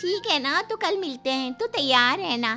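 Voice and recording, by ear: Putting on a character voice, a woman speaks high and with a bright, sharp tone, using lively intonation at a moderate pace while faint music plays in the background.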